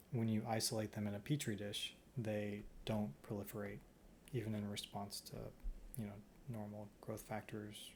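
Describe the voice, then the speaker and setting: Somewhat breathy and fairly low in pitch, a man speaks with ordinary pitch variation and long, frequent pauses. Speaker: stem cell researcher. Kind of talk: research vlog. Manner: slow.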